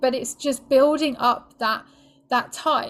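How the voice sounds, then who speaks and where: This woman has a British accent. Her pitch is high. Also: very clean recording, silent background. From Britain. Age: 40s. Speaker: sex and relationship coach. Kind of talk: podcast interview.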